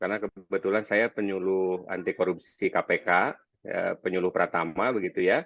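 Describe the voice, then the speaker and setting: A man with a slight Sundanese accent. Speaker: anti-corruption educator. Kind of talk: webinar presentation. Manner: halting, many fillers.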